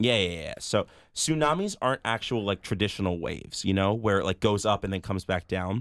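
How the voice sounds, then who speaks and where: A man's fairly low voice at a fairly quick pace, ordinary pitch variation, dry close sound with no echo, and a very clean recording with a silent background. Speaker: podcast co-host. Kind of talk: casual chat. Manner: animated.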